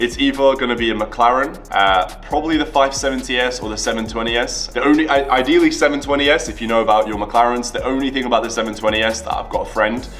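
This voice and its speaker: With music in the background and audible room echo, a man speaks very fast in a British accent with hardly any pauses. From Latvia, moved to the UK at ten. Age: 20s. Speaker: entrepreneur and YouTuber. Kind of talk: casual Q&A vlog.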